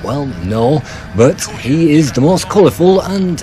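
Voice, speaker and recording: Over noticeable background noise, a man's fairly high voice makes very wide pitch swings. His pace is fairly slow. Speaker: game reviewer. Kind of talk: video game review narration. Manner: loud.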